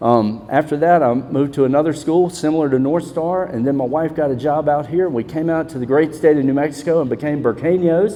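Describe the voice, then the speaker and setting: Talking at a very fast pace with hardly any pauses, a man with a Southern US accent has a fairly high pitch and ordinary pitch variation. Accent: Southern US, noticeable. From Mississippi. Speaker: school principal. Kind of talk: panel discussion.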